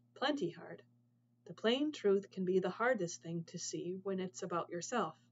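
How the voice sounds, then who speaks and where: A female-sounding voice puts on a gruff character voice at medium pitch, moving at a moderate pace. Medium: read story. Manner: blunt, gruff.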